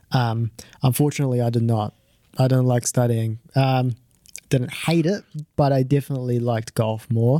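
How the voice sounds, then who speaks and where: In a New Zealand accent, a dark, mellow voice speaks with very even loudness and fairly even intonation, broken by long, frequent pauses. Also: man, medium pitch for a man, moderate pace. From New Zealand (born in Japan, moved at five). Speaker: amateur golfer. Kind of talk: interview.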